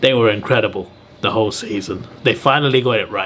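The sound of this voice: Speaking at a fairly quick pace, a man has a fairly low pitch, a fairly bright tone and ordinary pitch variation.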